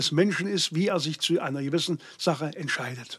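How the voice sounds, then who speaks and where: At a fairly quick pace and with ordinary pitch variation, the speaker comes through on a very clean recording with a silent background. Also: man. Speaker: state politician. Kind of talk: political interview. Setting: studio. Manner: hesitant, many fillers.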